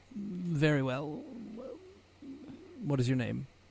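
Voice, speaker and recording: A man uses a put-on character voice. It sits at a fairly high pitch. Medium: actual play. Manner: formal, precise.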